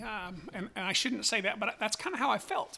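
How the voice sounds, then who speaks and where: This man's tone is bright and sharp. He uses a raised, projected voice. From Wyoming. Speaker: sheep breeder. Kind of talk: interview.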